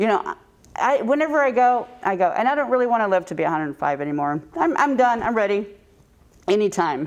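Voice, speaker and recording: Talking at a very fast pace, a woman uses a fairly high pitch with very wide swings, and noticeable noise sits in the background. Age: 60s. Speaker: long-lost sister reunited via DNA test. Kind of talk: casual chat. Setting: studio. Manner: halting.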